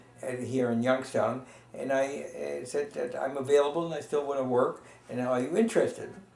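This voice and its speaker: A man talks at a fairly quick pace amid noticeable background noise. The room echo is audible. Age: 80s+. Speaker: retired pediatrician interviewed about family history. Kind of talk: oral history interview. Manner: halting, many fillers.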